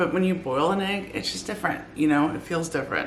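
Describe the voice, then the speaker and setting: Noticeable background noise and audible room echo surround a woman with a very deep, low pitch and ordinary pitch variation. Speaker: weight loss vlogger. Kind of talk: casual vlog. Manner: quiet, trying not to wake family.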